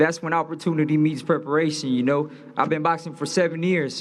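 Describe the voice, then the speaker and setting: A man speaks at a fairly quick pace with an American accent. Noticeable background noise and audible room echo surround his voice. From Los Angeles. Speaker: boxer. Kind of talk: press conference speech. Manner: animated.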